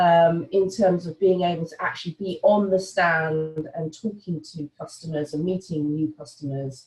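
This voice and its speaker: Her voice somewhat breathy, a woman speaks with a British accent at a fairly low pitch. She keeps a moderate pace. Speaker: sales director. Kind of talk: webinar presentation. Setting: online webinar. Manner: frequent fillers (um, uh).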